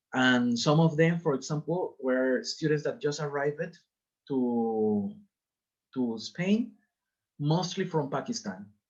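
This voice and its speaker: A man with a non-native accent speaks at a fairly slow pace. His fairly high voice makes very wide pitch swings. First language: Spanish. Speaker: teacher. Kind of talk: lecture. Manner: halting.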